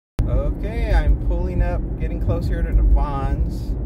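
Very slow delivery, dry and echo-free, over background music. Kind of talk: casual vlog chat. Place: car.

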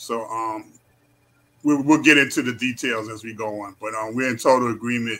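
In a New York accent, a man speaks at a moderate pace with a medium pitch and a bright, sharp tone. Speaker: community activist. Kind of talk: interview. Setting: video call.

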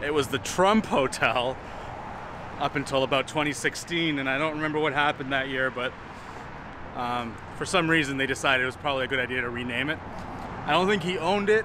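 At a fairly quick pace with ordinary pitch variation, the speech comes through dry, with no echo, over noticeable background noise. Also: man. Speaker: vlogger. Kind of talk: casual vlog chat. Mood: wry, joking. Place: street. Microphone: phone near.

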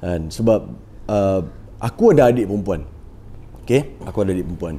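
A man talks, keeping a moderate pace. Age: 20s. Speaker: podcast host and trader; podcast host. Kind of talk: casual chat. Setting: studio. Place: studio. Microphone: lapel.

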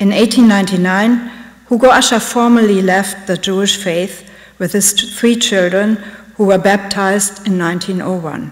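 A woman speaks at a fairly slow pace with a German accent. Her pitch is medium and her intonation fairly even. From Germany. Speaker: art curator; lecturer. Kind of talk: lecture. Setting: stage with audience. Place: hall. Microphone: podium.

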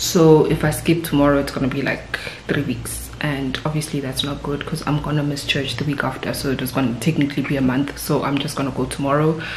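A woman with a very deep, low voice speaks very fast in a monotone, flat intonation, hardly pausing, with audible room echo and light background noise. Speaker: vlogger. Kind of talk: casual vlog chat. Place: home room. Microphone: phone near.

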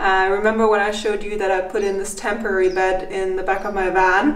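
A woman speaks at a fairly quick pace. Audible room echo surrounds her voice. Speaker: vlogger. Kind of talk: casual vlog chat. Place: home room. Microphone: phone near.

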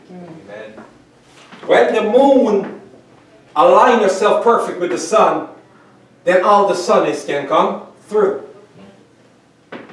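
A man speaks at a very slow pace, with long, frequent pauses and big swings in loudness. His pitch is high for a man with ordinary variation, and room echo is audible. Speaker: pastor. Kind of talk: sermon. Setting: church. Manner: animated. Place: church. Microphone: camera far.

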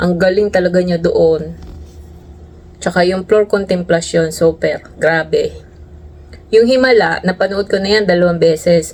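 A woman's fairly slow, fairly evenly intoned speech, broken by long, frequent pauses, over noticeable background noise. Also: medium pitch for a woman. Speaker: overseas worker vlogger. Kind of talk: casual vlog monologue.

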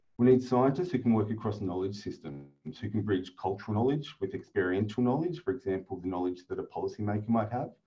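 A man with an Australian accent talks at a very fast pace. His voice is fairly low in pitch and somewhat breathy. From Northern Australia. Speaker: academic researcher. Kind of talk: webinar lecture. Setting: video call. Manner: fast talker.

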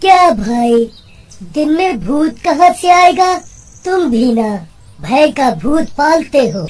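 The high-pitched voice moves at a fairly slow pace, with long, frequent pauses. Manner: calm, reassuring, mildly teasing.

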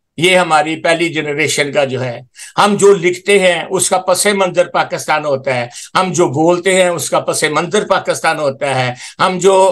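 This man has a high pitch. He speaks at a fairly slow pace. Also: ordinary pitch variation. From Pakistan. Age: 80s+. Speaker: charity volunteer and Urdu writer. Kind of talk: interview. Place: home room. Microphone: video call.

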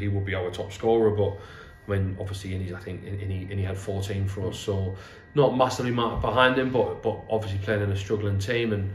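A man talks at a very fast pace in a fairly low voice. Audible room echo and light background noise sit behind him. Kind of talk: interview answer. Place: home room.

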